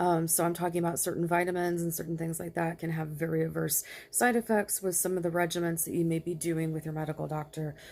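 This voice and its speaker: Fairly low in pitch, a woman talks with hardly any pauses in a monotone, flat intonation. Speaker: mental health vlogger. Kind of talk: personal testimony. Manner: halting.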